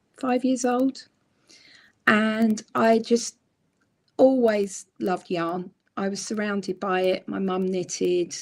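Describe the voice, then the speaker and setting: Someone with a British accent speaks at a very slow pace. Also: woman. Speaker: crochet book author. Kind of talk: casual interview chat. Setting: live stream.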